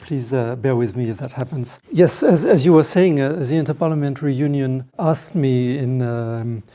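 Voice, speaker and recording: With a French accent, a man speaks at a moderate pace in a dark, mellow tone and with ordinary pitch variation. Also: medium pitch for a man. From France. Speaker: lawyer and trial observer. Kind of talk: panel talk. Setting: parliamentary meeting room. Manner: halting, searching for words.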